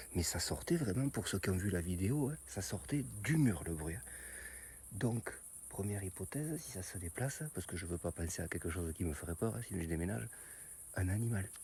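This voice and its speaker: Soft-spoken and somewhat breathy, a man with a very deep, low voice and a dark, mellow tone makes very wide pitch swings between long, frequent pauses. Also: fairly quick pace, very clean recording, silent background. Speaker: YouTuber investigating strange noises. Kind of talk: vlog. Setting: outdoors at night.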